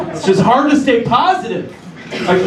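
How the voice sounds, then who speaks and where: A man speaks at an extremely high pitch, with noticeable background noise and audible room echo around him. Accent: American. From US Midwest. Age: 30s. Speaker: comedian. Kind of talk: stand-up. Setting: stage with audience.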